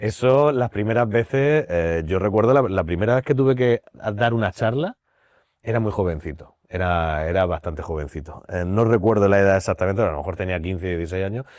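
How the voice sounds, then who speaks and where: Speaking with a Murcian accent at a fairly quick pace, a man with a fairly low pitch uses lively intonation on a very clean recording with a silent background. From Spain, Murcia. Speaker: blind actor and drama teacher. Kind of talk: podcast interview.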